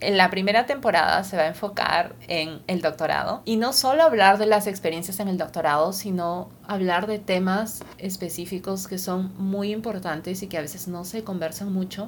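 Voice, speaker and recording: A woman with a Peruvian accent speaks at a moderate pace with hardly any pauses. Her medium-pitched voice shows ordinary pitch variation. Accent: Peruvian Spanish (Lima). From Lima, Peru. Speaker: podcast host, scientist. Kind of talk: podcast monologue.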